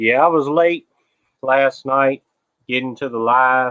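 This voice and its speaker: A man with an American accent speaks at a medium pitch. His pace is fairly slow and his intonation fairly even. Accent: Southern US accent, people tease how he talks. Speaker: livestreamer. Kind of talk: casual chat. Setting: outdoors. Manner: relaxed, chatty. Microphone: laptop webcam with noise cancellation.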